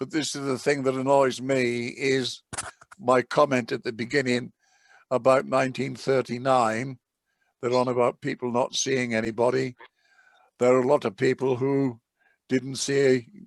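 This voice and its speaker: A man's medium-pitched voice at a moderate pace, monotone and flat, with long, frequent pauses and a dry, close sound with no echo. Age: 80s+. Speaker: vision support group member. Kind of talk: casual chat. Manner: halting.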